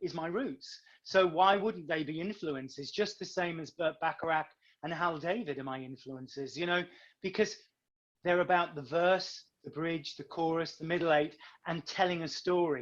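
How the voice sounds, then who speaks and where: A man's high voice in a British accent, with ordinary pitch variation and a moderate pace. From northern England. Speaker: singer and actor. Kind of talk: casual interview.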